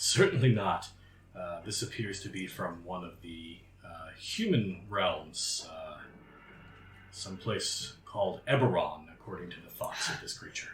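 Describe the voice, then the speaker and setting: A man does a put-on character voice at a fairly low pitch. Background noise is clearly audible. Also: moderate pace. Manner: sinister.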